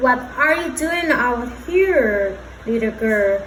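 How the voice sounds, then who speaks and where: Clear background noise sits under a put-on character voice that crawls along at a very slow pace. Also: woman, high pitch for a woman. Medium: read story. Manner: feigned friendliness.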